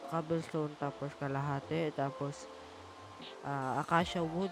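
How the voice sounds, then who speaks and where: The voice is soft-spoken. Music plays in the background. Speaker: gaming youtuber. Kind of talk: gameplay commentary. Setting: living room at home.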